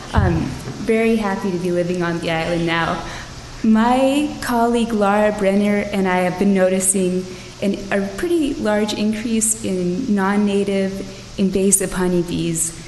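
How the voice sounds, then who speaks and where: A woman speaks at a fairly slow pace with ordinary pitch variation, with audible room echo and noticeable background noise. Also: medium pitch for a woman. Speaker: wildlife biologist. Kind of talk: public comment at council meeting. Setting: city council meeting.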